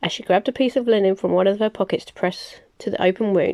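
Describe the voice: This plain reading aloud shows ordinary pitch variation.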